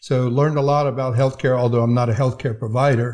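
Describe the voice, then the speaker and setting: In an American accent, a man speaks at a medium pitch with a dark, mellow tone, somewhat breathy and monotone with flat intonation, on a very clean recording with a silent background. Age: 70s. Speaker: healthcare IT executive and veteran. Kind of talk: casual interview. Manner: hesitant with fillers.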